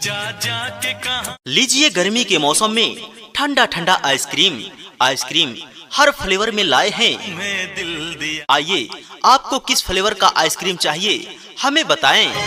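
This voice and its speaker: The speaker's pitch swings very widely in an energetic tone. Noticeable background noise is present. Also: man, high pitch for a man. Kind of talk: street vendor loudspeaker advertisement. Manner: energetic, persuasive sales pitch.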